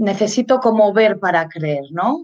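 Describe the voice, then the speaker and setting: A woman speaks at a very slow pace. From Spain. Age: 40s. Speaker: mindfulness and leadership consultant. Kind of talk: interview. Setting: live video stream.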